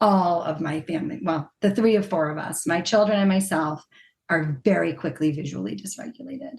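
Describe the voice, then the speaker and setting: This woman has a fairly low pitch with vocal fry. She talks at a fairly quick pace with lively intonation. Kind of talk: podcast interview.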